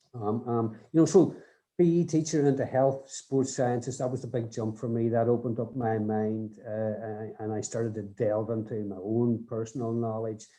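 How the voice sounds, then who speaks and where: Speaking at a moderate pace, a man with a medium pitch uses fairly even intonation and a dark, mellow tone. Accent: Northern Irish. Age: 60s. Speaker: rugby development coach. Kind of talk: podcast interview. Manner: halting, many repeated words.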